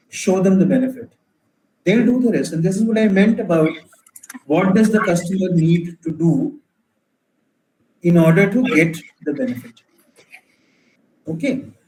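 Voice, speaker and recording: With a dark, mellow tone and a high pitch for a man, he speaks at a moderate pace with lively intonation and long, frequent pauses. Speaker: entrepreneur and startup mentor. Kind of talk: Q&A in an online workshop.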